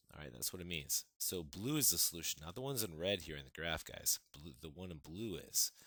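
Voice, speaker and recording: The voice has a bright, sharp tone with vocal fry and lively intonation, and its loudness swings widely. It moves at a fairly quick pace with hardly any pauses. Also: man, very deep, low pitch for a man. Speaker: math teacher. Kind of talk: tutorial. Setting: recorded video lesson. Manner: fast.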